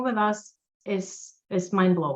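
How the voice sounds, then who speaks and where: A woman speaks with a Russian accent. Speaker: tax accountant. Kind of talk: interview.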